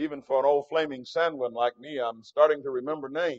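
The speaker talks at a fairly quick pace. The background is quiet. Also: man. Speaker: preacher. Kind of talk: sermon. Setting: big tent with audience. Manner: animated. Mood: warm, tender farewell. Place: church. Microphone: handheld.

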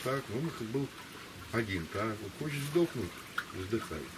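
A man's lively intonation comes through at a fairly slow pace, with noticeable background noise behind him. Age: 60s. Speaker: interview subject. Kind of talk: casual chat. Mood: calm reflective storytelling. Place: waterside. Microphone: camera far.

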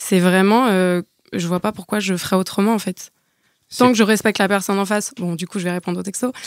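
An unremarkable speaking voice from a woman at medium pitch and a fairly quick pace, dry and close with no echo, on a very clean recording with a silent background. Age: 30s. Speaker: podcast guest sharing dating experiences. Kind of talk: casual chat.

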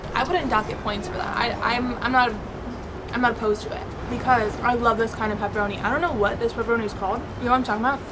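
Against noticeable background noise, a woman talks at a very fast pace with ordinary pitch variation. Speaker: food reviewer. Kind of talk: casual vlog chat. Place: street. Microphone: camera far.

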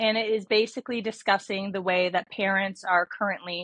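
Over a quiet background, a woman's voice comes through dry, with no echo. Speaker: interview guest. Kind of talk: interview answer.

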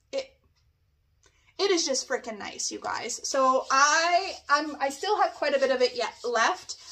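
With a Canadian accent, a woman speaks in a raised, projected voice at a fairly slow pace, her high-pitched tone animated, bright and sharp. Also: lively intonation. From Canada. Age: 40s. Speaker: nail technician; beauty product reviewer. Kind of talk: product review. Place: home room.

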